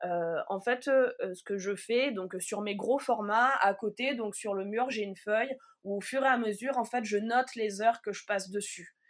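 At a moderate pace, a woman with a fairly high pitch speaks with ordinary pitch variation and big swings in loudness, in a very clean recording with a silent background. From Provence, southern France. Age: 30s. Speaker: wool artist. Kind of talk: casual interview. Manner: halting.

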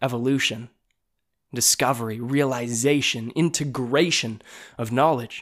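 The recording is very clean and the background silent. Delivery comes at a fairly slow pace. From western Canada (British Columbia, Calgary). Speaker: podcast host. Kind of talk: personal storytelling monologue.

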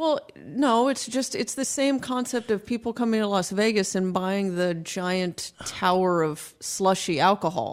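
On a very clean recording with a silent background, a woman uses a normal speaking voice at medium pitch, talking fairly slowly with hardly any pauses and lively intonation. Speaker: podcast host, lawyer. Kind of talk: casual chat.

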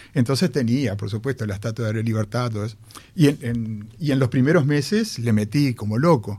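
This voice talks at a fairly quick pace. Its pitch rises and falls in an ordinary way. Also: man, medium pitch for a man. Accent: Rioplatense. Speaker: radio host. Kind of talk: radio show. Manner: halting.

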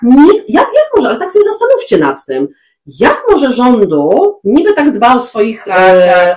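Her pitch is high and swings very widely. The woman keeps to a moderate pace. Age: 40s. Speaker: podcast co-host. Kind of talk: casual chat.

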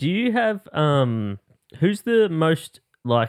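A man with an Australian accent makes very wide pitch swings, and the sound is dry and close with no echo. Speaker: podcast host. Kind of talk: casual chat.

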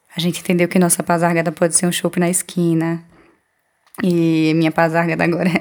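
At a fairly quick pace, a woman with a fairly low pitch speaks in monotone, flat intonation at a very even loudness. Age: 30s. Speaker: journalist and poet. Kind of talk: personal testimony.

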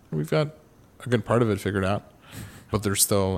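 With ordinary pitch variation and a fairly low pitch, the man has an ordinary speaking voice. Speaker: eyewear company founder. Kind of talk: interview.

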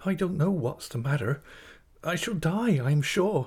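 In a put-on character voice, a man speaks at a moderate pace with a shaky, fairly high pitch and lively intonation, on a very clean recording with a silent background. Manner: trembling, faltering.

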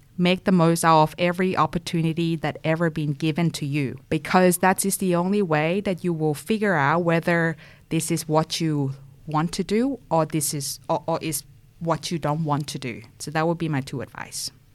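A woman speaks with a Thai accent at a fairly low pitch and a moderate pace, with ordinary pitch variation. The recording is very clean, with a silent background. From Thailand. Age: young. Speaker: tech professional. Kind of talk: interview.

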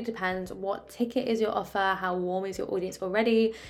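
A woman with a southern English accent talks at a medium pitch and a moderate pace. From England, Oxford. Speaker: business coach and podcast host. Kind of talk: casual solo podcast advice. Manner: animated.

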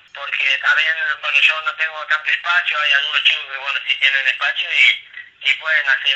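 Over noticeable background noise, a man speaks fairly quickly in a fairly high voice with monotone, flat intonation. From Tucumán, Argentina. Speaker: football player. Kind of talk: interview answer. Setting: phone call.

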